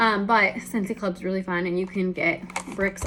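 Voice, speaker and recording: Noticeable background noise sits behind a woman who talks at a fairly quick pace and a medium pitch. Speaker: direct sales consultant. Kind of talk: product demonstration. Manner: fast; casual.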